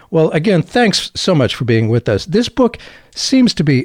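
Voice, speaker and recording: A man speaks at a moderate pace with a fairly high pitch, very wide pitch swings and a somewhat breathy quality. The recording is very clean, with a silent background and a dry, close sound with no echo. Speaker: podcast host. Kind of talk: interview.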